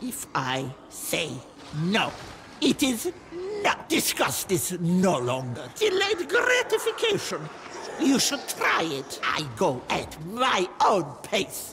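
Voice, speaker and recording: Someone puts on a character voice and speaks at a very slow pace over clear background noise. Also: man. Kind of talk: video game voice lines. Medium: dub.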